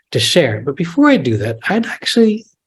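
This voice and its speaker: This man's voice is somewhat breathy. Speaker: author and translator. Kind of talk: live talk and Q&A. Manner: halting, many repetitions.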